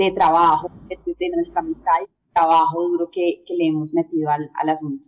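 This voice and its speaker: A woman talks at a moderate pace. She takes hardly any pauses. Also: dry, close sound with no echo. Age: 30s. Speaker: belly dancer and dance teacher. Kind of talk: interview.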